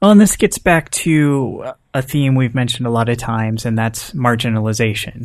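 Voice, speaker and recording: With an American accent, a man speaks in a plain, everyday voice at medium pitch, moving at a moderate pace with lively intonation. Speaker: podcast host. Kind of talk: casual chat.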